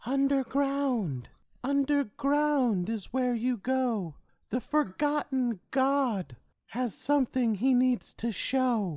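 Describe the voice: Someone does a put-on character voice at a fairly high pitch and a very slow pace. The recording is very clean, with a silent background.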